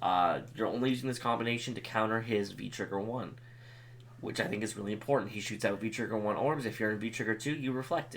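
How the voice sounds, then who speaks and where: A man speaks in an ordinary speaking voice at a medium pitch, with fairly even intonation. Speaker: gaming youtuber. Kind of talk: tutorial.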